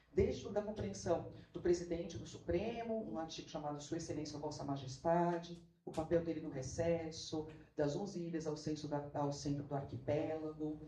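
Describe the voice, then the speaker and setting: A woman speaks at a moderate pace with a very deep, low pitch and ordinary pitch variation. Audible room echo fills the recording. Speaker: law professor and researcher. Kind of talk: academic talk. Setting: auditorium at academic event.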